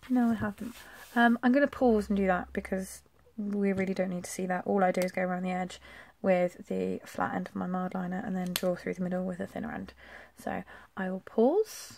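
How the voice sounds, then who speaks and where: A woman with an English accent mumbles at a fairly quick pace. Her medium-pitched voice is somewhat breathy, with fairly even intonation. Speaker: planner vlogger. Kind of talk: casual plan-with-me tutorial. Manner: mumbling; chatty.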